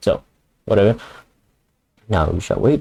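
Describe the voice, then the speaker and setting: Very wide pitch swings run through a man's somewhat breathy voice. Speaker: amateur artist. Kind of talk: casual commentary on own drawings.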